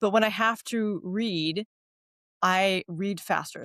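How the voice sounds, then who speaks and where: A woman of medium pitch speaks with lively intonation. The recording is very clean, with a silent background and a dry, close sound with no echo. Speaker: podcast host and writer. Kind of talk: casual chat. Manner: fast.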